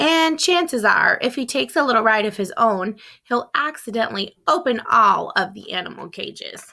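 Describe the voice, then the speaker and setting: A woman's raspy, high-pitched put-on character voice at a moderate pace, with hardly any pauses. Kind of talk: read-aloud storytelling. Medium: read story. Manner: lively, expressive.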